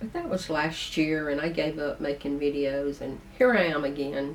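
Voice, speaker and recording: The voice has ordinary pitch variation, heard over noticeable background noise. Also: woman. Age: 70s. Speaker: video blogger. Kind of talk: casual monologue to camera.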